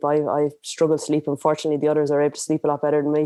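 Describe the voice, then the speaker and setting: A woman's very deep, low voice in an Irish accent. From Ireland. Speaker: adventure racer. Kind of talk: podcast interview answer. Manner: energetic.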